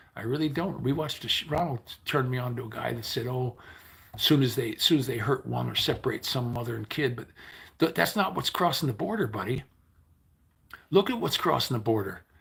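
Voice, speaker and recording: A man with an American accent, medium pitch, lively intonation and vocal fry, talking at a very fast pace with long, frequent pauses, on a very clean recording with a silent background. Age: 60s. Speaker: livestreamer. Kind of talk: casual livestream chat. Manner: rambling conversational.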